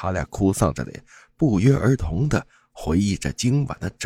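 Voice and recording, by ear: Lively intonation marks the delivery. It is reading aloud in a natural voice.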